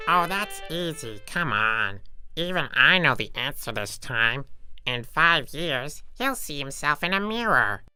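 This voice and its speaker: A put-on character voice at a middle pitch and a fairly slow pace, with faint music in the background. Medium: machinima. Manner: brash, wisecracking.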